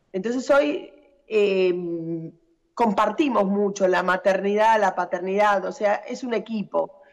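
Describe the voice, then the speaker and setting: This woman's voice has a medium pitch. She delivers her words at a fairly slow pace. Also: ordinary pitch variation. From outside Argentina. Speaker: agricultural machinery territory manager. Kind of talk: interview. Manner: halting.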